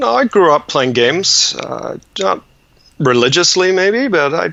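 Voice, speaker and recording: A man with lively intonation at a fairly slow pace, against noticeable background noise. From Ontario, Canada; born in England. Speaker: board game designer. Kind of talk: casual interview.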